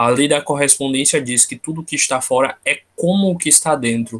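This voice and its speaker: A normal speaking voice from a man, fairly high-pitched, moderate in pace, with ordinary pitch variation. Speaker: tarot study group leader. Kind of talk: online study group lecture. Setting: video call.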